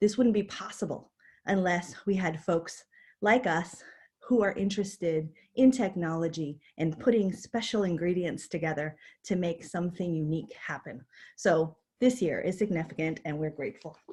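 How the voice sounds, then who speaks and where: Somewhat breathy, a woman talks at a moderate pace with a fairly low pitch. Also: ordinary pitch variation. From New York City. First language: not English. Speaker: university dean. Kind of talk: keynote talk. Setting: virtual conference.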